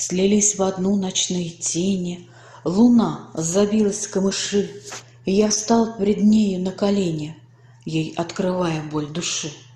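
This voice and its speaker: A woman speaks at a very slow pace with medium pitch and fairly even intonation. Noticeable background noise sits behind her. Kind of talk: poetry reading.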